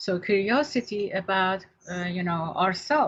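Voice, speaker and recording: A woman with a non-native accent speaks at a medium pitch, her voice somewhat breathy. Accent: foreign. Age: 60s. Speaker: therapist and radio host. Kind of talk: radio talk show discussion.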